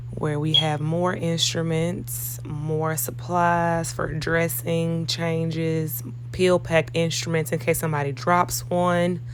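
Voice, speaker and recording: A woman's very deep, low voice at a very slow pace, with fairly even intonation, audible room echo and noticeable background noise. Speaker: operating room nurse. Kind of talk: vlog walkthrough tour. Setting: hospital operating suite.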